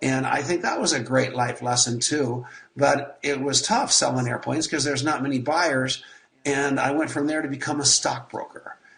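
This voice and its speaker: Over noticeable background noise, the speaker talks at a moderate pace with fairly even intonation. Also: man. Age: 60s. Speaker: network marketer. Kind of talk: interview.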